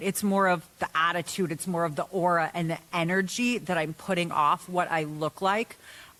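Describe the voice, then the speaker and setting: The delivery moves at a moderate pace with an animated tone. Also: woman. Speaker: mental health coach. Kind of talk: podcast interview. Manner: animated, boisterous.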